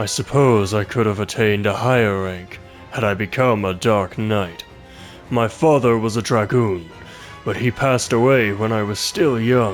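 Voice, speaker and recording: A man puts on a character voice at a moderate pace. Clear music plays behind him. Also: medium pitch for a man. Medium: game stream.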